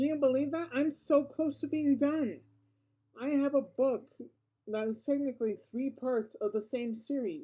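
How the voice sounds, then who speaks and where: A woman with a high pitch and a dark, mellow tone mumbles at a moderate pace with ordinary pitch variation. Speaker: vlogger. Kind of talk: casual vlog monologue. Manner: mumbling; halting, with repetitions.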